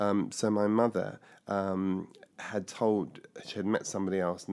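With a southern English accent, a man speaks in a fairly low pitch with monotone, flat intonation. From southern England (Surrey, west London). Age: 50s. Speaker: pastor and inclusion consultant. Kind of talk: life story interview. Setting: recorded on location in London.

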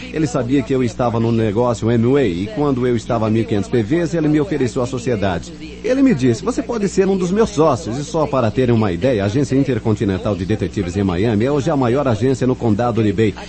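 A man's medium-pitched voice with an English accent, very fast with hardly any pauses, lively in intonation, very even in loudness, over noticeable background noise. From New York, the Bronx. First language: English (speaking Portuguese). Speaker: network marketing speaker, former detective. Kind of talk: motivational talk. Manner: animated.

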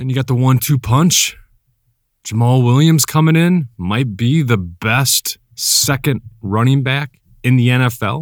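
On a very clean recording with a silent background, a man talks at a fairly slow pace in a medium pitch, his dry, close sound carrying no echo and his pitch varying in an ordinary way. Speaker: podcast host. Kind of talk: sports play-by-play commentary. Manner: animated.

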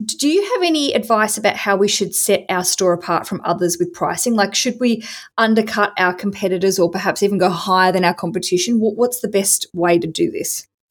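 A woman with an unremarkable speaking voice, medium in pitch with ordinary pitch variation, talks at a fairly quick pace with hardly any pauses in a very clean recording with a silent background. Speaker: podcast host and interviewer. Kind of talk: interview.

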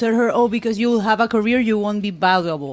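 A woman's normal speaking voice, fairly high in pitch, with ordinary pitch variation at a fairly quick pace. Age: 30s. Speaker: panel guest. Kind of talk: casual panel debate. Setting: studio.

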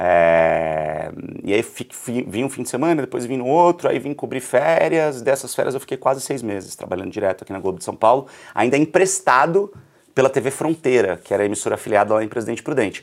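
Vocal fry runs through this man's fairly quick speech. His pitch swings very widely. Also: medium pitch for a man. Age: 30s. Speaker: journalist and entrepreneur. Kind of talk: casual interview. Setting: studio.

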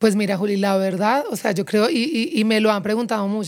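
A woman with a fairly high pitch talks at a very fast pace with ordinary pitch variation. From Colombia, Pereira. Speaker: advertising executive. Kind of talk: interview.

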